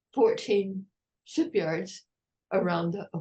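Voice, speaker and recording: In an American accent, a woman speaks very slowly at a medium pitch. Her voice is somewhat breathy, with a dark, mellow tone. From United States. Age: 80s+. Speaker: retired park ranger, historian. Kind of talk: interview answer.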